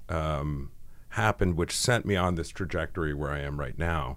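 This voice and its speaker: Lively intonation at a moderate pace, in an American accent. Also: man. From New England, US. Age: 40s. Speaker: screenwriter and producer. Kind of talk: podcast interview. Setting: studio.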